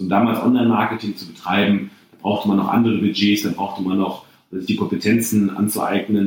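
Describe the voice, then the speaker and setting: The speaker is a man with fairly low pitch. He talks very fast. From Germany, Bocholt area (Münsterland). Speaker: entrepreneur and CEO. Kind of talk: interview conversation.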